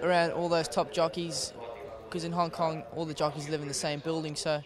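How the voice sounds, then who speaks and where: Against noticeable background noise, a man with a fairly high pitch speaks at a fairly quick pace in a fairly even intonation. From South Africa. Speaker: apprentice jockey. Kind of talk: interview. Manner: halting, many fillers.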